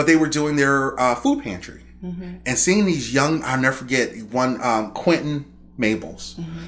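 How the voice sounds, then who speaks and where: An unremarkable speaking voice from a man with an American accent, medium-pitched and lively in intonation, at a fairly quick pace. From Chicago, Roseland. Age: 40s. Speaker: violence prevention outreach manager. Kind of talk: casual interview chat. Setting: studio on a couch.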